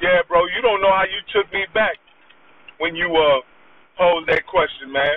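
Noticeable background noise sits behind a man talking at a moderate pace with high pitch and ordinary pitch variation. He takes long, frequent pauses. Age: 40s. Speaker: caller. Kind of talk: casual chat.

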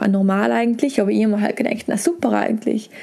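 A woman speaks with a South Tyrolean accent over noticeable background noise. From South Tyrol, Brixen. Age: 20s. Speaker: former competitive climber and bike guide. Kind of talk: interview. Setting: hotel.

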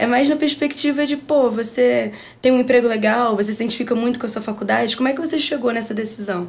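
Against noticeable background noise, a woman with a high pitch speaks at a very fast pace with ordinary pitch variation. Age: 20s. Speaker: advertising student and music marketing agency founder. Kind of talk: casual chat.

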